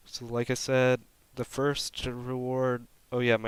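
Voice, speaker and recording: On a very clean recording with a silent background, a man speaks at a fairly slow pace. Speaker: gaming YouTuber. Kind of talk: casual chat. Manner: monotone; words slurred together.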